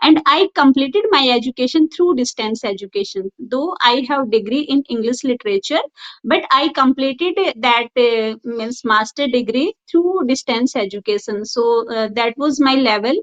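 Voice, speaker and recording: A woman with an Indian accent talks at a moderate pace, her high-pitched voice carrying lively intonation. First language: Hindi. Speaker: school teacher. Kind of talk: interview. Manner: halting.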